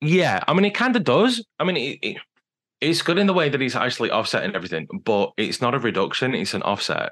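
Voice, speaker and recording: Talking at a very fast pace with a British accent, a man with a fairly high pitch swings very widely in pitch and shows vocal fry. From Britain. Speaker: digital sustainability consultant. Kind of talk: interview.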